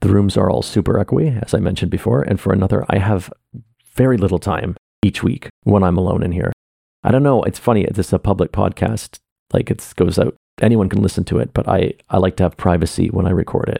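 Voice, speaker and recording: A man talks at a fairly quick pace in a very deep, low pitch with vocal fry and a dark, mellow tone. The sound is dry and close with no echo, with ordinary pitch variation. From Canada. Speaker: artist and theater maker podcasting personal updates. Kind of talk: personal monologue update. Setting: home office room. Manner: lowered pitch, close to mic. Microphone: echoey room, very close to mic.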